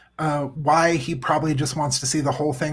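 A man with fairly high pitch sounds somewhat breathy, and his intonation is fairly even. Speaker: podcast co-host. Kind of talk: casual chat. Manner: jokey, playful.

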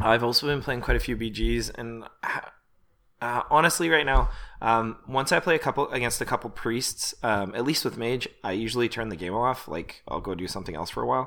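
With a Canadian accent, a man talks at a fairly quick pace in a bright, sharp tone with vocal fry. His intonation is lively. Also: medium pitch for a man, very clean recording, silent background. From Canada. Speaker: podcast co-host. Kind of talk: casual chat. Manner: fast talker.

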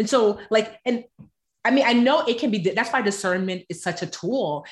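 This woman has a plain, everyday voice and an American accent. She speaks at a moderate pace with ordinary pitch variation. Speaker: author and personal finance expert. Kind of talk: casual interview chat.

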